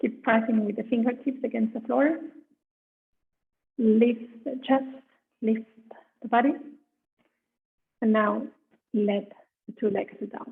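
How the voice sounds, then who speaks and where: A soft-spoken woman talks with fairly even intonation. Her loudness swings a lot, and she leaves long, frequent pauses. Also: fairly slow pace. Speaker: yoga teacher. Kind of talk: guided yoga class instruction. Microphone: too quiet at first, then adjusted.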